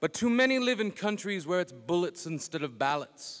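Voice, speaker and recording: Talking at a fairly quick pace, a man has a normal speaking voice with ordinary pitch variation. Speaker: slam poet. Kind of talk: spoken word poetry performance. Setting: live conference stage.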